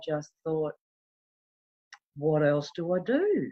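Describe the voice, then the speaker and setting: Speaking fairly slowly, a woman talks in an Australian accent. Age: 60s. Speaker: bereaved mother in recovery. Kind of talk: testimony.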